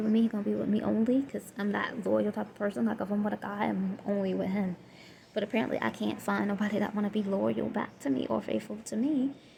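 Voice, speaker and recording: Against noticeable background noise, a woman speaks very fast with a Southern US accent. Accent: Southern US country. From Southern US (Florida). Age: 20s. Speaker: single mother vlogger. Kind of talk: casual talk to camera.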